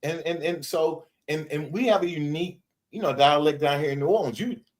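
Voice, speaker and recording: A man with a Louisiana accent speaks at a fairly quick pace. His pitch is fairly high for a man, with ordinary pitch variation. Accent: Louisiana Southern US. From Shreveport, Louisiana, US South. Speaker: podcast host. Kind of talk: podcast interview.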